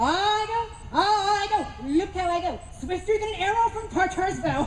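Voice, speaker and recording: A put-on character voice at an extremely high pitch. It moves at a moderate pace over clear background noise. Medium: stage play. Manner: playful, mocking, laughing.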